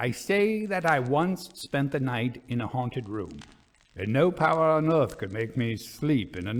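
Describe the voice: This is plain reading aloud. Its intonation is lively.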